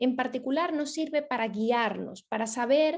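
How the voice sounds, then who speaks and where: Her high voice carries lively intonation as this woman talks. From Venezuela. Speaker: ethics foundation project manager. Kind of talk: lecture. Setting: video call. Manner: hesitant, many fillers.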